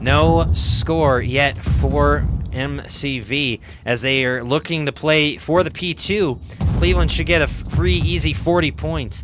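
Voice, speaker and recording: A man speaks at a fairly slow pace over noticeable background noise. His medium-pitched voice makes very wide pitch swings. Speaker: esports caster. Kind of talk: live commentary. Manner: animated.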